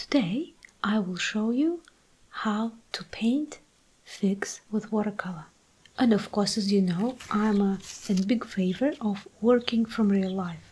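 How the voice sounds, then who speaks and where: Soft-spoken and calm in tone, a woman talks at a fairly slow pace in a fairly high pitch. Her pitch varies in an ordinary way, and noticeable background noise is present. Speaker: watercolour artist and art tutor. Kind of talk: instructional tutorial narration. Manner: soft-spoken, calm, relaxing.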